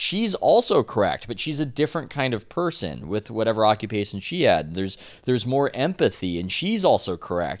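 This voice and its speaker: A medium-pitched man's voice with an American accent and vocal fry, fairly quick with hardly any pauses and very wide pitch swings, in a very clean recording with a silent background. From San Diego, California. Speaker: sports journalist and podcast co-host. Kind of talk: casual chat.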